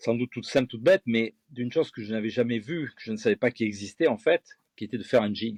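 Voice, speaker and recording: At a fairly quick pace, a man talks in a plain, everyday voice of medium pitch with ordinary pitch variation, the sound dry and close with no echo against a quiet background. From France, Gironde (Bègles, near Bordeaux). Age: 50s. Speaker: fishing lure designer and angling guide. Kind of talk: interview.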